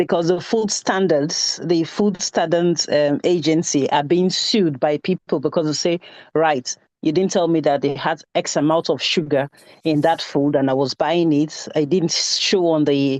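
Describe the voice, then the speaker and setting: Over a quiet background, a woman with a very deep, low pitch talks at a fairly slow pace with fairly even intonation and very even loudness, in a dry, close sound with no echo. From Nigeria. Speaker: class participant. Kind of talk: class discussion.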